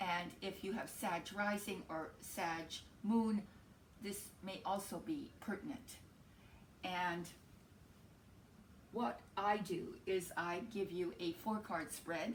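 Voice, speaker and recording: A woman speaks at a very slow pace with long, frequent pauses, her medium-pitched voice somewhat breathy and ordinary in pitch variation, with audible room echo. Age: 60s. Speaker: tarot reader. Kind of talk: tarot forecast to camera. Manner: hesitant, many fillers.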